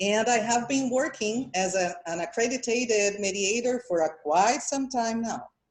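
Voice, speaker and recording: Speaking with a Portuguese accent, a woman talks at a fairly slow pace with hardly any pauses, using a fairly high pitch and ordinary pitch variation. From Brazil. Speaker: mediator. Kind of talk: conference presentation. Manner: halting.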